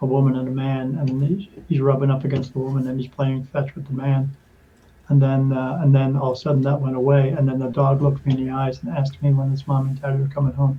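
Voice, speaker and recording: The voice is somewhat breathy and dark and mellow in tone, moving at a very fast pace with monotone, flat intonation. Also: man, medium pitch for a man. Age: 50s. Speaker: spirit medium and podcast guest. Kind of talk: interview testimony. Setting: podcast interview. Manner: halting, with fillers and restarts.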